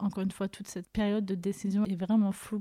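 A woman's medium-pitched, somewhat breathy voice with a dark, mellow tone comes at a moderate pace in a monotone, flat intonation, the sound dry and close with no echo. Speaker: podcast host sharing her story. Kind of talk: personal testimony. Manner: emotional, voice tone shifting.

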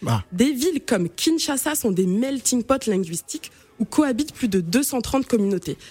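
Speaking at a fairly slow pace, a woman with a fairly high pitch and a dark, mellow tone makes very wide pitch swings while keeping her loudness very even. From Cameroon. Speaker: radio columnist on African languages. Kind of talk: radio chronicle.

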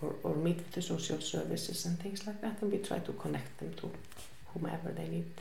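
A woman speaks with an Icelandic accent, and audible room echo surrounds her voice. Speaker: women's shelter worker. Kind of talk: interview. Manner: halting, many fillers.

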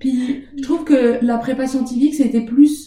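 A dark, mellow, somewhat breathy tone at a very slow pace, with fairly even intonation. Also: woman. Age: 20s. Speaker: master's student. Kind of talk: casual interview. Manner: hesitant, many fillers.

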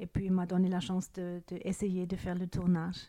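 A woman speaks with a German accent. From Germany. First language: German (speaking French). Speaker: recorder maker. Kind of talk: interview. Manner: halting.

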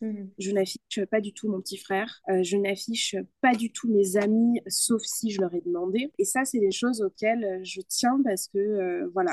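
An ordinary speaking voice from a medium-pitched woman at a fairly slow pace, ordinary pitch variation, and a dry, close sound with no echo. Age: 20s. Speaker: digital communication consultant. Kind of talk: podcast interview.

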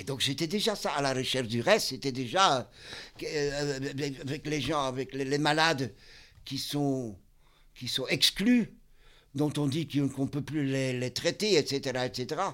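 On a very clean recording with a silent background, a man with a fairly high voice speaks very slowly, using ordinary pitch variation. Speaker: psychiatric clinic worker. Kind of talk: casual interview. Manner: halting.

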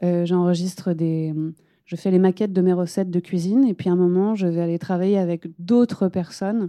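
The tone is dark and mellow. Delivery moves at a moderate pace with fairly even intonation. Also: woman, quiet background. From France, Lyon. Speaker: singer-songwriter. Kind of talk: public panel conversation. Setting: stage with live audience.

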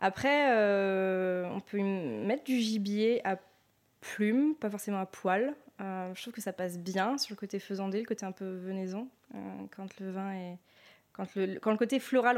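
On a very clean recording with a silent background, a plain, everyday voice moves at a fairly slow pace, with ordinary pitch variation and big swings in loudness. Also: woman. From Loire Valley, France (Sancerre). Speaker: sommelier and wine shop owner. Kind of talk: interview testimony.

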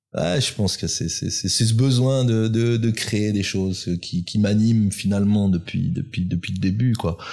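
A man's fairly low, dark and mellow voice, at a fairly slow pace with hardly any pauses and ordinary pitch variation. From France, Grenoble area (Alps). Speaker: independent watchmaker. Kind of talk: interview. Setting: workshop. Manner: halting.

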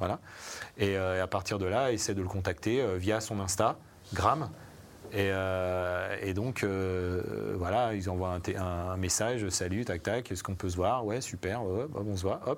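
A man talks at a fairly slow pace in a very deep, low voice. His intonation stays fairly even. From Savoie, France. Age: 40s. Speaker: music industry artistic director. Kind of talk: live panel interview. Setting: live event with audience, streamed.

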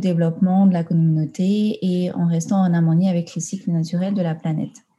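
A woman with a dark, mellow, somewhat breathy tone and medium pitch talks at a fairly quick pace with fairly even intonation. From Tahiti, French Polynesia. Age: 20s. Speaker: environmental management consultant. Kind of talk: interview. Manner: halting, many fillers.

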